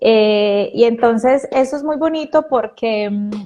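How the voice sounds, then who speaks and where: Dark, mellow tone from a woman, very slow pace and ordinary pitch variation, over a quiet background. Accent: Pereira. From Colombia, Pereira. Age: 30s. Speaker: biodecoding therapist, weight coach. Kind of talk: casual interview.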